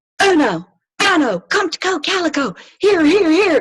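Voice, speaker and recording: A woman does a put-on character voice at an extremely high pitch, with lively intonation and a moderate pace. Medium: read story.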